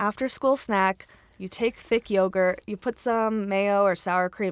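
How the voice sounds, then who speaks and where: A normal speaking voice with an American accent at a moderate pace, dry and close with no echo, on a very clean recording with a silent background. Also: woman. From US Mid-Atlantic, Maryland. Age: 30s. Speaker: cookbook author. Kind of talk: casual chat.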